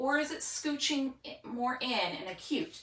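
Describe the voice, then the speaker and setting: A woman speaks over noticeable background noise. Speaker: teacher. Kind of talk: tutorial. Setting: home spare room with dry erase board.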